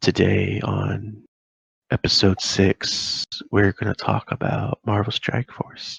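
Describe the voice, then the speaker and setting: A man's soft-spoken, raspy, put-on character voice, calm in tone, fairly low in pitch, and fairly slow in pace. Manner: calm, soft, intimate.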